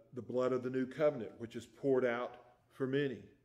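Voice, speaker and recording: The background stays quiet. A man's intonation is monotone and flat. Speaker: preacher. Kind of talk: sermon. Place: church. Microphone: podium.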